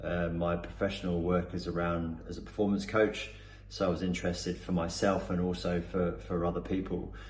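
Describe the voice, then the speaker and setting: Speaking at a fairly quick pace, a man has a very deep, low voice that is somewhat breathy. His pitch varies in an ordinary way, and room echo is audible. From Cornwall, England. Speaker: performance coach. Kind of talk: testimonial. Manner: hesitant, many fillers and repetitions.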